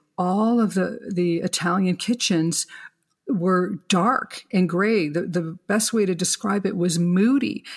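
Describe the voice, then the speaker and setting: A woman's somewhat breathy voice at a medium pitch and a very slow pace, with ordinary pitch variation and very even loudness, on a very clean recording with a silent background. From Canada. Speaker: kitchen designer. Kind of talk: interview, explanatory talk.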